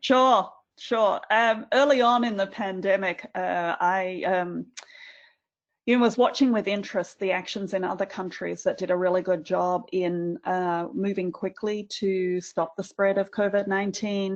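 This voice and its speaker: Speaking fairly slowly in an Australian accent, a woman uses a medium pitch and ordinary pitch variation against a quiet background. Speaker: university administrator. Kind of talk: webinar panel discussion.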